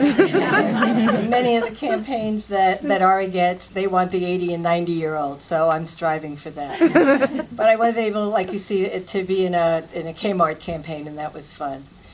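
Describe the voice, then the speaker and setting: Over noticeable background noise, a woman at medium pitch speaks at a moderate pace with lively intonation, big swings in loudness and hardly any pauses. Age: 60s. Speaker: style icon. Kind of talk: panel Q&A after screening.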